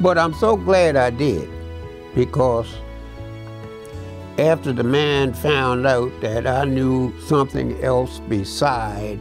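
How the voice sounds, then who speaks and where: With clear music in the background, a man speaks at a very slow pace, his pitch swinging very widely between long, frequent pauses. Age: 80s+. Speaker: retired water utility worker; war veteran. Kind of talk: interview answer. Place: home room. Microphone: lapel.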